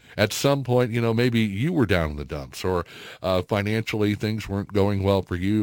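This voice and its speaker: In a very clean recording with a silent background, a man with a normal speaking voice talks at a moderate pace, his fairly low pitch moving in an ordinary way. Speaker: radio host. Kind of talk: casual chat. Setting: studio.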